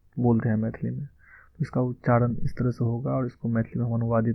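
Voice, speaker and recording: A man speaks at a medium pitch. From Madhubani, Bihar, India. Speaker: language teacher. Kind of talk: language lesson talk.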